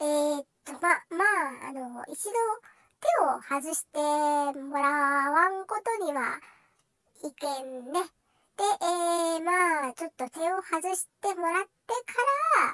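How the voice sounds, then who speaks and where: A put-on character voice comes through at a high pitch and a fairly slow pace. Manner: hesitant, flustered.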